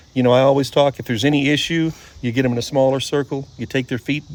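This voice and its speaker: Talking at a fairly quick pace, a man uses a plain, everyday voice, fairly high in pitch, with fairly even intonation. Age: 60s. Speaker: horse trainer. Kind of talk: casual chat.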